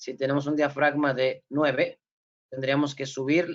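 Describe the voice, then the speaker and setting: A man speaks at a fairly slow pace with a fairly high pitch. It is an ordinary speaking voice. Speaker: forensic photography instructor. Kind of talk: lecture. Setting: video call.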